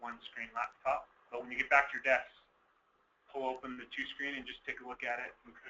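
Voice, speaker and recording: A man talks at a fairly quick pace in a medium pitch, his intonation flat and monotone. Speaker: software trainer. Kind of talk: tutorial.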